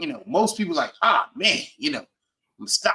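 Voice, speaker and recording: A man's raised, projected voice, high-pitched, with a bright, sharp, animated tone. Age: 40s. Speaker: Spanish teacher. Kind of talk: casual chat.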